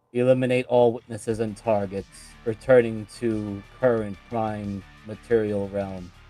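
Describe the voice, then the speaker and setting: In a loud, robotic, put-on character voice at a medium pitch, a man speaks at a moderate pace over faint music in the background. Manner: cold, commanding.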